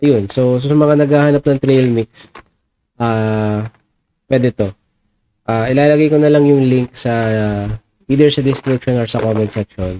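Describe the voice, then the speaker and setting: Speaking at a fairly slow pace, a man with a medium pitch and a dark, mellow tone shows ordinary pitch variation, recorded with a dry, close sound and no echo. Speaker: product reviewer, YouTuber. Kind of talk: casual product review. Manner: halting, many fillers.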